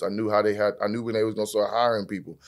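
On a very clean recording with a silent background, a man speaks. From Texas, Fort Worth. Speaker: trucking business owner. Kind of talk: casual interview.

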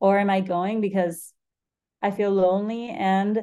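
Flat and monotone, the voice carries a dark, mellow tone. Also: woman. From Argentina. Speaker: nutrition coach. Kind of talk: casual interview chat.

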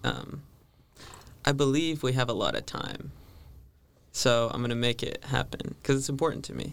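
A man with an American accent. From California. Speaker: seminarian. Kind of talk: casual chat.

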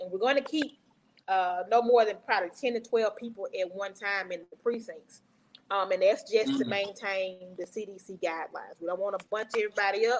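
In a Mississippi accent, a woman talks at a fairly quick pace. Her pitch sits in the medium range with ordinary variation. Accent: US Southern, Mississippi. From Jackson, Mississippi. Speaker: county election commissioner. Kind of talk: interview. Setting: live video stream.

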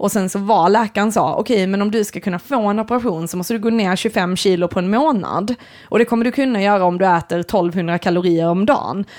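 A woman with an unremarkable speaking voice talks at a fairly quick pace with hardly any pauses. Her medium pitch shows ordinary variation. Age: 30s. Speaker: podcast co-host and artist. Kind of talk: casual chat.

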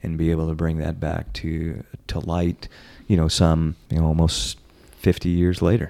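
At a moderate pace, a man speaks in a very deep, low voice with a dark, mellow tone and fairly even intonation. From Kentucky. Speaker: distillery owner and master distiller. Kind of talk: interview. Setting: on location at a distillery.

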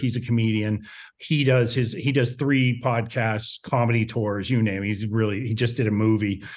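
An unremarkable speaking voice talks at a moderate pace with an American accent. The intonation stays fairly even. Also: man. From small town in Ohio. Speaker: podcaster. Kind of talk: casual chat.

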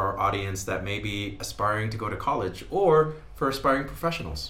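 A man with a New Mexican accent talks at a fairly quick pace, his pitch rising and falling in an ordinary way. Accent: New Mexican American English. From New Mexico. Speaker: podcast host. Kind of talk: casual interview; scripted intro and outro.

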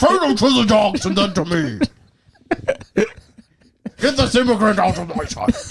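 Using a put-on character voice, a man speaks at a fairly slow pace and a high pitch. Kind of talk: mock archaic. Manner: haughty, commanding.

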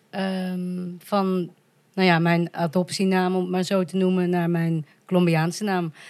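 The voice moves at a fairly slow pace with monotone, flat intonation, captured in a very clean recording with a silent background. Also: woman. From Netherlands, Volendam. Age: 30s. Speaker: podcast guest, adoptee from Colombia. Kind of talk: casual chat.

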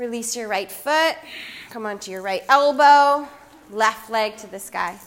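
A woman speaks at a very slow pace in a calm, soothing tone. Her intonation is lively. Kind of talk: guided yoga class instruction, cueing poses and breath. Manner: calm, soft, unhurried, soothing cues with pauses and filler ums.

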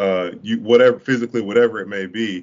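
A man with an American accent has an unremarkable speaking voice set at a fairly low pitch. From Duval County (Jacksonville), Florida. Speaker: former college basketball player. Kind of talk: casual interview chat.

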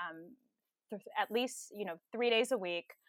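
A woman with a Californian accent talks at a fairly quick pace and a fairly high pitch. Her pitch varies in an ordinary way, and the sound is dry and close with no echo. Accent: Californian American English. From Southern California, Los Angeles County. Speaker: government attorney. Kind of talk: interview.

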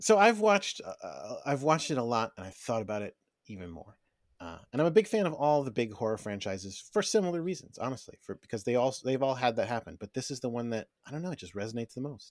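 A man's medium-pitched voice with very wide pitch swings at a very fast pace, on a very clean recording with a silent background. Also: big swings in loudness. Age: 40s. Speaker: podcast co-host, horror movie fan. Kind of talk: casual chat.

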